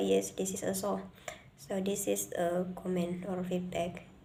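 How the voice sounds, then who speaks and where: Speaking at a very slow pace with an Indonesian accent, a woman is heard over audible room echo. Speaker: student presenter. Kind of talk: class presentation. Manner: halting.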